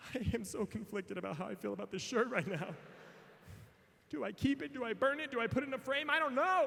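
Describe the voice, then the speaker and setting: A man's extremely high-pitched voice with an American accent, very wide pitch swings and a very fast pace, over noticeable background noise. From Missouri. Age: 30s. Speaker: motivational speaker. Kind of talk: keynote speech. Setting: stage with audience. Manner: animated.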